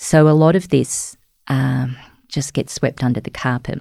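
In a very clean recording with a silent background, a woman with an Australian accent uses a dark, mellow tone, very deep, low pitch and fairly even intonation. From outback New South Wales, Australia (Cobar). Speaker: journalist. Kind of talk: interview.

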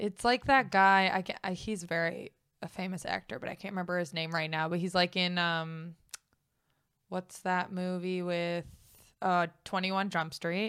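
On a very clean recording with a silent background, a woman with an American accent speaks in a plain, everyday voice at a moderate pace, her fairly low pitch held to fairly even intonation. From United States. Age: 20s. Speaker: comedian. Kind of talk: casual chat.

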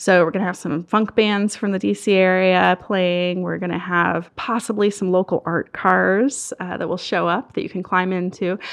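Against a quiet background, a woman with a plain, everyday voice and an American accent speaks at a medium pitch and moderate pace with fairly even intonation. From Southern Maryland. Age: 30s. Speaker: nonprofit outreach director. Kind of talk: interview. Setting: studio.

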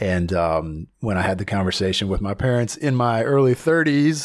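In a very clean recording with a silent background, a man speaks in a normal speaking voice at a moderate pace with lively intonation. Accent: American. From US South, Southern Virginia. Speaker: actor. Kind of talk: interview.

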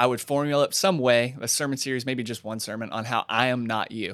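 An ordinary speaking voice from a man, medium in pitch, with fairly even intonation and a fairly quick pace, on a very clean recording with a silent background. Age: 20s. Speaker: church pastor and podcast co-host. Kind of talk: casual chat.

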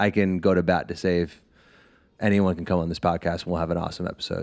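A man's plain, everyday voice at a fairly quick pace, fairly even in intonation, over a quiet background. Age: 20s. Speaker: podcast guest. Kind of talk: casual chat.

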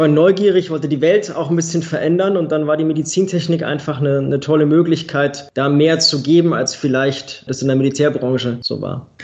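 Moving at a fairly quick pace, a man with a fairly high pitch talks in an ordinary speaking voice. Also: fairly even intonation, hardly any pauses. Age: 30s. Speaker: quality management consultant and trainer. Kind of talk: podcast interview.

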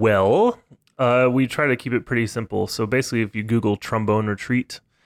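An unremarkable speaking voice from a man at a medium pitch, with an American accent and a moderate pace, in a very clean, silent recording with a dry, close sound and no echo. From Texas. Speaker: trombonist and music professor. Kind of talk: casual interview chat.

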